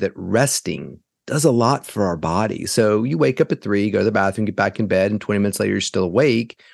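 With a plain, everyday voice, a man speaks at a fairly quick pace and lively intonation, in a dry, close sound with no echo. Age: 50s. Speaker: neurologist and sleep specialist. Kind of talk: interview. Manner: casual, conversational.

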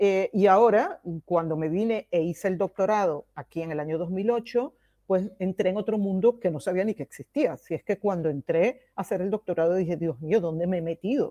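The voice has a dark, mellow tone and ordinary pitch variation, moving at a moderate pace in a dry, close sound with no echo. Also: woman, medium pitch for a woman. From Venezuela. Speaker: professor. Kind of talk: interview.

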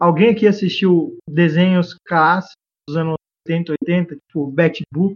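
Here a man talks at a fairly slow pace. His pitch is high. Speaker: podcast guest. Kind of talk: casual chat.

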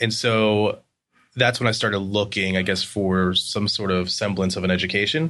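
This man has a fairly low pitch and a bright, sharp tone. He keeps a moderate pace at very even loudness against a quiet background. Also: fairly even intonation. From Pennsylvania (York). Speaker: design agency founder. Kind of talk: interview. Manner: casual, laughs often.

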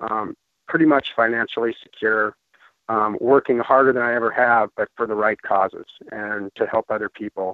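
A man speaks in an American accent with a normal speaking voice. His pitch is medium, his intonation fairly even and his pace moderate. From Colorado, US. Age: 50s. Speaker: ultramarathon runner sharing a product testimonial. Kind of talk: testimony.

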